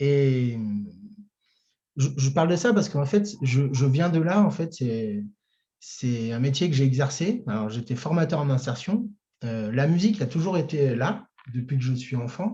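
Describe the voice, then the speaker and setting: A man's dark, mellow, somewhat breathy voice at a fairly slow pace, with lively intonation. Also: fairly high pitch for a man. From France, Chartres. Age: 30s. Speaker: singer-songwriter. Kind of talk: interview. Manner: hesitant, many fillers.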